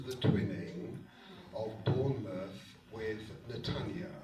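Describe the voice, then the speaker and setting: A man talks with lively intonation. Audible room echo and noticeable background noise surround his voice. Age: 70s. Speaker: synagogue trustee and community leader. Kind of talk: public speech. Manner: hesitant with fillers.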